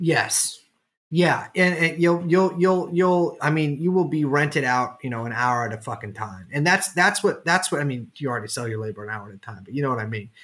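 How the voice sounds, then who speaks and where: On a very clean recording with a silent background, a man with a fairly high pitch speaks. His intonation is lively, a normal speaking voice. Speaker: podcast host. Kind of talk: casual banter, comedic podcast chat. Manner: joking, sarcastic.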